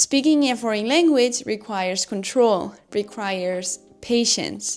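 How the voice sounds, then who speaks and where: Fairly high-pitched, a woman talks at a fairly slow pace with a Spanish accent. Her pitch rises and falls by ordinary amounts. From Spain. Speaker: YouTuber, communication coach. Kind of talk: tutorial.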